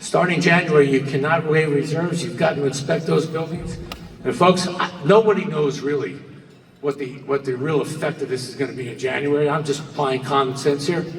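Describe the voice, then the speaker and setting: Fairly quick and fairly high in pitch, a man talks with an American accent. Audible room echo and noticeable background noise are present. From New Jersey. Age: 60s. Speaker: real estate broker. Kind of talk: conference presentation. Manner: animated.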